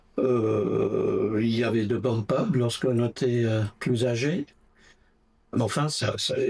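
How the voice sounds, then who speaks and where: Amid noticeable background noise, a man speaks at a very slow pace in a medium pitch, keeping very even loudness and ordinary pitch variation. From England, Essex near London (Brentwood). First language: English (speaking French). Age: 80s+. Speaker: interviewee, retiree. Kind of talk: interview. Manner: hesitant, many fillers.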